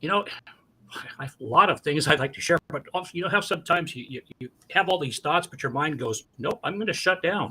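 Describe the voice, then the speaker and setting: In a normal speaking voice, a man with a fairly high pitch talks at a fairly quick pace, with lively intonation and big swings in loudness. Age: 60s. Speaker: community youth advocate. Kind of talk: radio interview.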